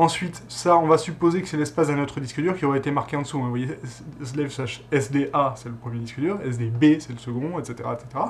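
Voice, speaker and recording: There is light background noise behind this man. He talks very fast in a fairly high pitch. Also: ordinary pitch variation. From southern France. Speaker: tech tutorial youtuber. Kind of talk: tutorial. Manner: casual, hesitant with many fillers. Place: home room.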